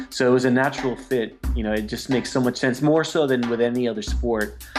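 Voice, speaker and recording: Over music in the background, the speaker moves at a very fast pace with fairly even intonation. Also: man, medium pitch for a man. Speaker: street artist. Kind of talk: interview answer.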